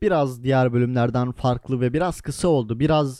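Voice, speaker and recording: Moving at a fairly slow pace, this voice carries a dark, mellow tone. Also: man. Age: 20s. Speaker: podcast host. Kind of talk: solo monologue. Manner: animated.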